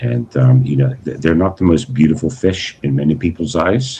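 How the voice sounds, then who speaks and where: A man speaks with a very deep, low pitch. His pitch swings very widely. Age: 60s. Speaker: aquarium hobbyist livestreamer. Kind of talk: casual livestream chat. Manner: halting, many repeated words; polite.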